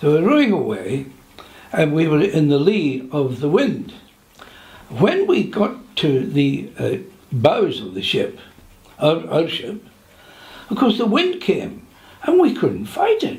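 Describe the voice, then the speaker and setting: With a British accent, a man speaks at a very slow pace with long, frequent pauses, and audible room echo surrounds his voice. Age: 80s+. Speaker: war veteran. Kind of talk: interview reminiscence. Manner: halting.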